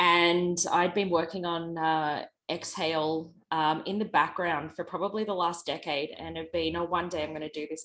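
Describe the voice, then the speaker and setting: With an Australian accent, a woman speaks at a fairly low pitch and a moderate pace in a flat monotone, on a very clean recording with a silent background. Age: 40s. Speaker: beverage startup founder. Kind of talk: panel discussion.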